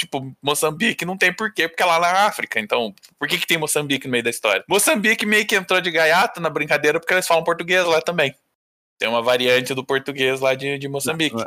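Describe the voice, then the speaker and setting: A man talks at a very fast pace in a bright, sharp tone. His pitch is fairly high, with lively intonation. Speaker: podcast intern and editor. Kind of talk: casual chat.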